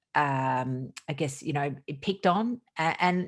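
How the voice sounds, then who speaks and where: Against a quiet background, a woman with an Australian accent speaks in a very deep, low pitch with lively intonation. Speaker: doctor. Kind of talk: podcast interview. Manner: animated.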